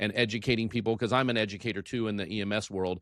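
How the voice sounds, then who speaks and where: The speaker has an American accent and talks at a very fast pace with fairly even intonation. The recording is very clean with a silent background, and the sound is dry and close with no echo. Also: man. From United States. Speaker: podcast host and emergency medical services educator. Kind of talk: interview podcast. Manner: halting, with many repeated words and fillers.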